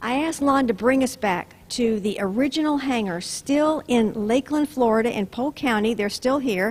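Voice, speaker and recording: With a plain, everyday voice, a woman talks at a fairly quick pace, her fairly high pitch showing ordinary variation. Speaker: interviewer, local history host. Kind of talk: on-location interview host. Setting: outdoors.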